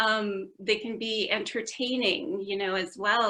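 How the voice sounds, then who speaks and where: Against a quiet background, a woman with a Canadian accent talks at a fairly high pitch in a bright, sharp tone with ordinary pitch variation. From Canada, Vancouver. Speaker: university lecturer. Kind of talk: podcast interview. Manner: hesitant, many fillers.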